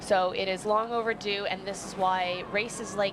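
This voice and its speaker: Amid noticeable background noise and audible room echo, a woman with a Canadian accent speaks at a medium pitch in a monotone, flat intonation. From Canada. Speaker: rowing commentator, Olympic rower. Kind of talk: live sports commentary.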